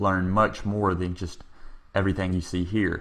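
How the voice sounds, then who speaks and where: A man with a Texan accent speaks at a fairly quick pace, his fairly low pitch held in a fairly even intonation. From Texas. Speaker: programming instructor. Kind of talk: tutorial.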